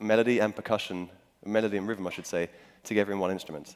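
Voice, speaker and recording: Someone with a London accent talks at a very fast pace with fairly even intonation. The recording is very clean with a silent background. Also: man. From England, London. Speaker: musician. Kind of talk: talk to audience. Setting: stage with audience. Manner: hesitant with many fillers.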